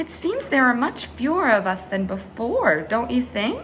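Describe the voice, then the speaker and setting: A put-on character voice, female-sounding and fairly high, at a moderate pace over clear background noise. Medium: read story.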